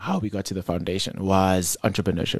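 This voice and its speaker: A man talks at a fairly low pitch in a dark, mellow tone. The sound is dry and close with no echo, over a quiet background. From South Africa, Gauteng township. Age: 30s. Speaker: youth development foundation director. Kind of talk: interview.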